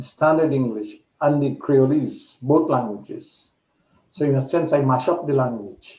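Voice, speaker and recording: A somewhat breathy man's voice at a fairly high pitch, moderate in pace with ordinary pitch variation. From Guyana, east coast of Demerara. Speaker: poet. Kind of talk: interview.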